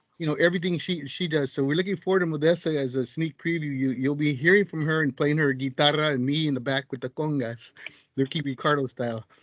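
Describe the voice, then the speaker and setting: A man's fairly high-pitched voice, very fast and with fairly even intonation. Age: 60s. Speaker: community peer co-host. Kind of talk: casual chat.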